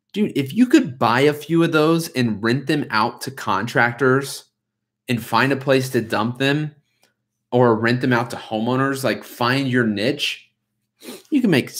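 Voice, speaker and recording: A man's voice with ordinary pitch variation, over a quiet background. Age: 20s. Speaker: lawn care business owner, YouTuber. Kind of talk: livestream chat with viewers. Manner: casual, hesitant with fillers. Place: home room. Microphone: webcam.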